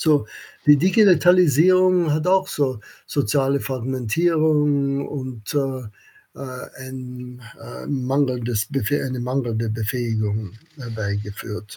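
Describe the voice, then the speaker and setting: A man speaks at a very slow pace in a dark, mellow tone that is somewhat breathy. His pitch sits at a medium level with ordinary variation. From Austria (Vienna), American family. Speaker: economics professor. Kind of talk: interview. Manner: halting, many fillers.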